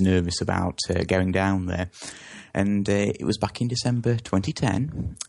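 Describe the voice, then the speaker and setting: With an English accent, a man speaks at a moderate pace in a very deep, low pitch with fairly even intonation. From England. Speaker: interview guest on South Africa. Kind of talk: interview. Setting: phone call. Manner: halting, many fillers.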